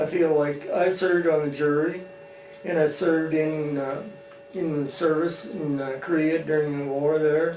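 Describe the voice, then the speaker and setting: A man with a Midwestern American accent speaks at a moderate pace in a monotone, flat intonation. Audible room echo and noticeable background noise surround him. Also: fairly high pitch for a man. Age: 80s+. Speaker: farmer. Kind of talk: interview testimony. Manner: halting, many fillers.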